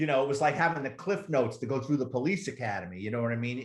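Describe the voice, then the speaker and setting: Speaking at a very fast pace, a man sounds somewhat breathy. His medium pitch moves with ordinary variation. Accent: New York. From New York City, the Bronx. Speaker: retired police officer and author. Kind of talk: casual interview storytelling. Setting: podcast interview. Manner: animated.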